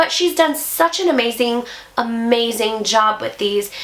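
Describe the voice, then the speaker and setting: With a fairly high pitch, this woman talks while noticeable background noise is present. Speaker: beauty YouTuber. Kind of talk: product review. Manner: chatty.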